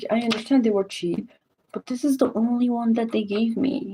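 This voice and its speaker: The woman speaks in a whisper. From Morocco. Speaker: streamer. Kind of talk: live stream chat. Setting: home at night, live stream. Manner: whispering.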